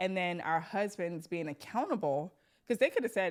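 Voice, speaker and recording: A woman's fairly low voice at a fairly quick pace with ordinary pitch variation, on a very clean recording with a silent background. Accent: New York. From New York. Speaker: podcast host. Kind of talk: casual chat.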